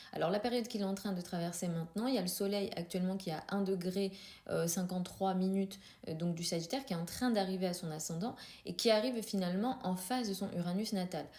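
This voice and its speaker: Talking at a very fast pace, a woman uses a medium pitch, fairly even intonation and a dark, mellow tone. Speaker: astrologer. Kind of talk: astrology commentary video. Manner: hesitant, many filler sounds.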